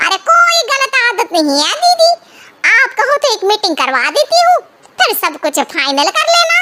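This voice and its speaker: This is a cartoonish character voice that sounds squeaky. Its pitch swings very widely. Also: woman, extremely high pitch for a woman, moderate pace. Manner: eager, persuasive.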